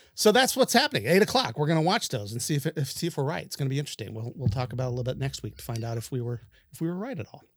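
With hardly any pauses, a man talks at a very fast pace and medium pitch, somewhat breathy, with lively intonation and big swings in loudness, on a very clean recording with a silent background. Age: 40s. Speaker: podcast host. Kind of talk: casual chat.

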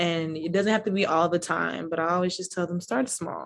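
A woman's ordinary speaking voice at medium pitch, with fairly even intonation over a quiet background. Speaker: art therapist. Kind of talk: casual interview chat, live event. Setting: live event.

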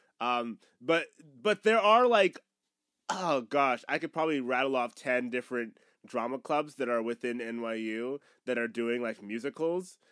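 A man with an American accent and an unremarkable speaking voice talks at a moderate pace and medium pitch, with ordinary pitch variation, in a dry, close sound with no echo on a very clean recording with a silent background. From North Carolina, Boone. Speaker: composer and musical theatre student. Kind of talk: casual chat.

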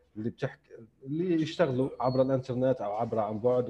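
At a medium pitch, a man talks at a moderate pace with ordinary pitch variation over noticeable background noise. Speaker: podcast host, writer and translator. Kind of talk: interview, casual chat. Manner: formal, polished intro.

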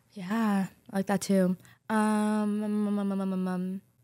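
Very clean and silent in the background, the recording captures a woman at a medium pitch with a dry, close sound and no echo. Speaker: podcast host. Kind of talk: casual chat. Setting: studio. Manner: fast; animated.

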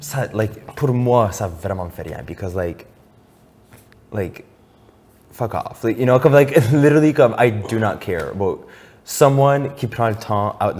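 An animated man with lively intonation talks at a fairly slow pace, leaving long, frequent pauses. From Acadia, Moncton, New Brunswick. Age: 20s. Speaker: drag queen and TikTok personality. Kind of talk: casual chat.

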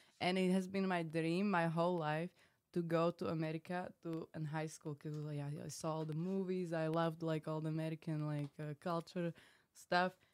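A woman speaks in a fairly low, monotone voice with flat intonation and a Slovak accent. Her pace is moderate, and the sound is dry and close with no echo. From Slovakia. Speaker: reality TV contestant. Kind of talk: casual chat.

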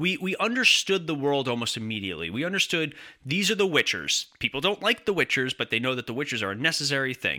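Talking at a very fast pace with hardly any pauses, a man with a fairly high pitch, very wide pitch swings, a bright, sharp tone and vocal fry comes through dry and close with no echo. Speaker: podcast host. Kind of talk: casual chat. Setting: video call. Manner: animated.

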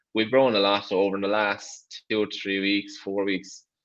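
This is a man with an Irish accent. His voice sits fairly low. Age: 20s. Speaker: rally driver. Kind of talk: interview.

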